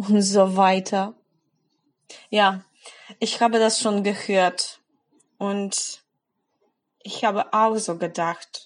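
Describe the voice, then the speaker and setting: The delivery is monotone and flat, at a very slow pace. Long pauses come often against a quiet background. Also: woman, medium pitch for a woman. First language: Polish (speaking German). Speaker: German language blogger. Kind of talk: motivational monologue for language learners.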